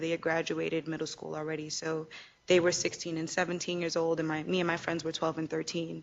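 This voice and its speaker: Her voice fairly low, a woman speaks with a New York accent. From Queens, New York. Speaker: trafficking survivor speaker. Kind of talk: panel interview testimony. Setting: event with live audience.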